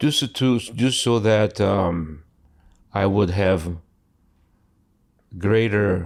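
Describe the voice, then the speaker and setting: A man speaks very slowly in a very deep, low voice with ordinary pitch variation. The recording is very clean, with a silent background. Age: 60s. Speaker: retired insurance adjuster sharing depression journey. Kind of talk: podcast interview. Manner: halting, many fillers and restarts.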